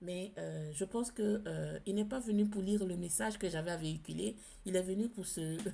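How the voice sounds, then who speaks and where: A woman speaks at a moderate pace, her voice somewhat breathy. Her tone is dark and mellow. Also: medium pitch for a woman, ordinary pitch variation. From outside France. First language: not French (speaking French). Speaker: tarot card reader. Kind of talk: spiritual card reading. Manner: hesitant, many fillers and repetitions.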